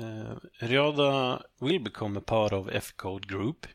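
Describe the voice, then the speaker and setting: The speaker talks at a fairly slow pace in a Swedish accent. Pitch varies in an ordinary way. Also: man. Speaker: company CEO. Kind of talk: interview. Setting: online call. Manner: halting.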